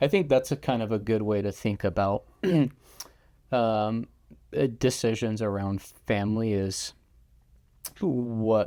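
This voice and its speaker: A man's dark, mellow tone at medium pitch, with an American accent, fairly even intonation, and a fairly slow pace broken by long, frequent pauses. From California, Silicon Valley. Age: 30s. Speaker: financial adviser. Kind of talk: casual chat.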